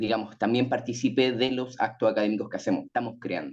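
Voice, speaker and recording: The man's speech runs at a fairly quick pace. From Chile. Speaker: writing teacher and panelist. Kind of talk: panel talk. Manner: sing-song intonation.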